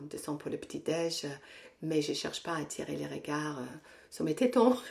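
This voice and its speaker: The woman's voice is fairly low with ordinary pitch variation. She talks at a moderate pace. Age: 60s. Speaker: Pilates teacher and fitness coach. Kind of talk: casual interview. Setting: at the guest's home. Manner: hesitant, many repetitions.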